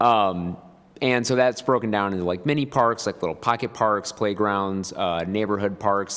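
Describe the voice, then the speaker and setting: Pitch varies in an ordinary way as the words come at a fairly quick pace. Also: man. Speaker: planning consultant. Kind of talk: meeting presentation. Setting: public meeting room. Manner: fast; hesitant, many fillers.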